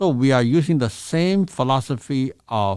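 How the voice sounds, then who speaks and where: On a very clean recording with a silent background, a man with a Chinese accent speaks at a medium pitch and fairly slow pace, his pitch swinging very widely. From China. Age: 60s. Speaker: massage therapist. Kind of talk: interview answer.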